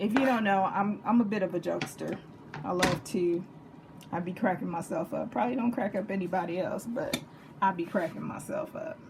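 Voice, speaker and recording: With a Texas accent, a woman at a medium pitch sounds animated and uses lively intonation over noticeable background noise. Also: fairly quick pace. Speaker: home cooking channel host. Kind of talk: cooking tutorial.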